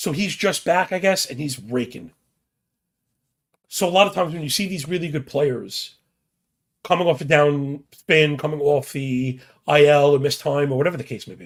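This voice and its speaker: A man's fairly high-pitched voice, with long, frequent pauses and big swings in loudness. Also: ordinary pitch variation. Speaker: sports betting podcast host. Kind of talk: casual sports betting preview monologue. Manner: casual, fast-talking.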